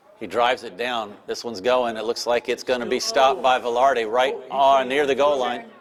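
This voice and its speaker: A man talks at a moderate pace with a medium pitch. Background noise is noticeable throughout. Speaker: polo match commentator. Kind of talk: live commentary. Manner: animated.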